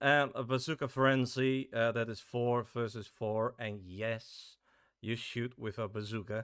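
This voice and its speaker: The speaker has a Dutch accent. The pace is very slow. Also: man. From Netherlands. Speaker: game developer streamer. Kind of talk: casual live stream chat. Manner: halting, many fillers.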